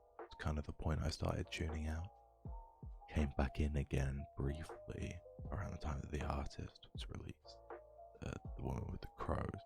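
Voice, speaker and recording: A soft-spoken man with a very deep, low pitch, ordinary pitch variation, a moderate pace and long, frequent pauses, music in the background. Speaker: voice actor, streamer. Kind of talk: ASMR soft-spoken gaming talk.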